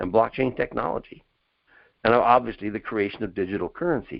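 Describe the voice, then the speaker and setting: A man at a medium pitch, speaking at a fairly quick pace. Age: 70s. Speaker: webinar presenter on investing. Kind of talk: webinar presentation. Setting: online webinar. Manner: casual, conversational.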